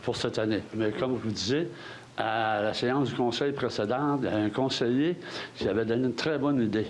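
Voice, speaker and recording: Amid noticeable background noise and audible room echo, a man speaks at a fairly quick pace and medium pitch, with ordinary pitch variation and very even loudness. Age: 70s. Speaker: citizen asking question. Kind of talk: public meeting Q&A. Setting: council hall with audience.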